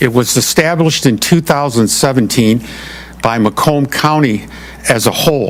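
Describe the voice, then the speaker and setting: Noticeable background noise runs under this recording. A man speaks at a moderate pace and medium pitch, with ordinary pitch variation. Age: 70s. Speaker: retired manufacturing professional presenting to township commission. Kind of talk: public meeting presentation.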